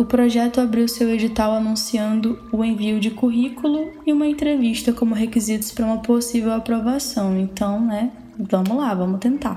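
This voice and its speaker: Over noticeable background noise, a woman speaks at a moderate pace with a fairly high pitch and fairly even intonation. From Pará, northern Brazil. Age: 20s. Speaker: law student podcaster. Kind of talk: personal monologue podcast.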